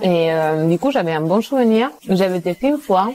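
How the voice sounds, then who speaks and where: A woman's dark, mellow tone, lively intonation and fairly quick pace. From Spain. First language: Spanish (speaking French). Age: 20s. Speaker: engineer, guest sharing eating disorder story. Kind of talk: casual chat. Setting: restaurant in Paris. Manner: hesitant, many fillers.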